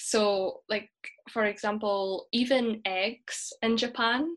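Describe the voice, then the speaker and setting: Her fairly high voice carries a slight Scottish accent and fairly even intonation. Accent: mild Scottish. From Scotland, Glasgow. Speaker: English teacher. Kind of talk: casual interview.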